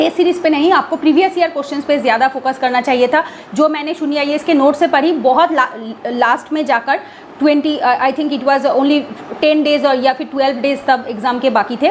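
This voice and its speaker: A woman with a Bengali accent speaks at a moderate pace and a high pitch amid noticeable background noise. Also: ordinary pitch variation. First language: Bengali (speaking Hindi). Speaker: exam aspirant vlogger. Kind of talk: casual vlog talk. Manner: halting with fillers and self-corrections; code-switching Hindi and English.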